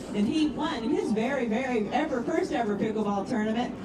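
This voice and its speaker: With noticeable background noise and audible room echo, a woman speaks at a fairly quick pace and high pitch, her intonation lively and her loudness very even. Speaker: event announcer. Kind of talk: award announcement.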